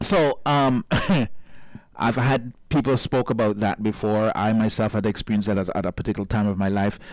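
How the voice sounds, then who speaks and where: This is a normal speaking voice at a fairly quick pace. Its loudness stays very even, and the pitch varies in an ordinary way. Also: man, fairly low pitch for a man. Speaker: radio show host. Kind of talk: radio talk show interview.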